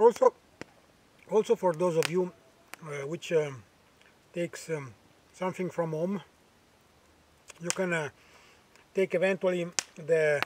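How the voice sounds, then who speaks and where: A high-pitched man with an Italian accent at a fairly slow pace, fairly even intonation and long, frequent pauses, in a dry, close sound with no echo. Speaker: bushcraft vlogger. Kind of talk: outdoor cooking tutorial. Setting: outdoors. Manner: halting, many fillers.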